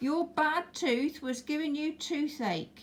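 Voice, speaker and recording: A put-on character voice, pitched high and delivered at a fairly slow pace. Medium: read story.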